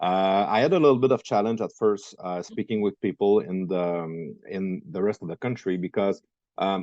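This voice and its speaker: A man with a French Canadian accent speaks at a fairly low pitch and a moderate pace, with ordinary pitch variation and a dark, mellow tone. The sound is dry and close with no echo, over a quiet background. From Quebec. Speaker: entrepreneur. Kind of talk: interview. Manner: halting.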